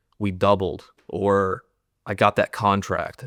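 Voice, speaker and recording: On a very clean recording with a silent background, a man speaks at a fairly low pitch, the sound dry and close with no echo. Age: 30s. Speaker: former CrossFit athlete and business owner. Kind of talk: interview conversation. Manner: casual, halting with many fillers.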